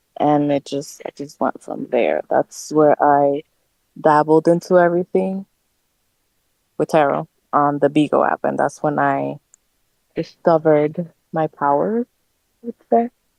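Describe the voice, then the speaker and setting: Fairly slow speech with an American accent, ordinary pitch variation and long, frequent pauses, in dry, close sound with no echo. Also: woman, very deep, low pitch for a woman. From New Jersey (Hoboken), Dominican family. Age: 30s. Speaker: tarot reader and spiritual practitioner. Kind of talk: casual interview chat. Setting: livestream.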